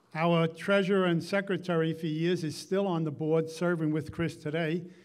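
A man at a moderate pace with little pitch movement. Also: fairly high pitch for a man.

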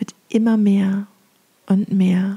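Calm and soothing, a woman with a medium-pitched voice speaks very slowly in a monotone, flat intonation, recorded with a dry, close sound and no echo. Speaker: meditation guide. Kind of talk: guided meditation. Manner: calm, slow, soothing.

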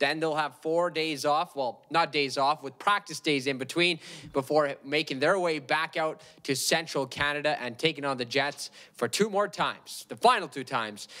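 With a bright, sharp tone and a fairly high pitch, a man talks at a moderate pace with few pauses and ordinary pitch variation.

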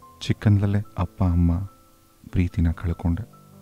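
Over background music, a man speaks in a very deep, low, monotone voice, recorded dry and close with no echo. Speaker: radio host. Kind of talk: emotional reading of a listener's love letter on radio.

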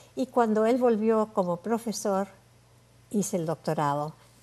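Lively in intonation yet very slow, the dark, mellow voice leaves long, frequent pauses. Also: woman. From Uruguay. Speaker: Bible languages scholar; interview guest. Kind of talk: interview. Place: studio. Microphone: lapel.

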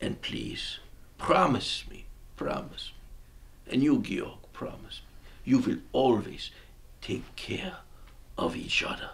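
A man puts on a raspy character voice, speaking at a fairly slow pace with long, frequent pauses. Light background noise sits behind him. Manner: rambling, pleading, rising to fervor.

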